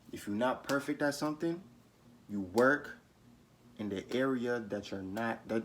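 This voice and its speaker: In a passionate tone, a man speaks at a moderate pace and medium pitch with ordinary pitch variation. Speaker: YouTuber giving life advice. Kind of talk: motivational talk to camera. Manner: passionate, stumbles over words.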